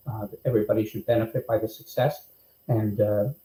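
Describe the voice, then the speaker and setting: A man speaks fairly quickly, his medium-pitched voice somewhat breathy with a dark, mellow tone. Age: 70s. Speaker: business founder and CEO. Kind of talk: interview. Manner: halting, many fillers.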